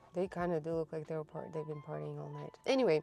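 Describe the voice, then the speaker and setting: Over music in the background, the voice moves in very wide pitch swings. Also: woman. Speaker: craft market vlogger. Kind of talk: casual vlog.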